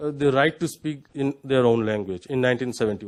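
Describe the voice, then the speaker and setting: With a Bengali accent, a man speaks at a moderate pace. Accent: Indian English, Bengali. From West Bengal, India. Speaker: panelist. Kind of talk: panel discussion. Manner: halting, many fillers.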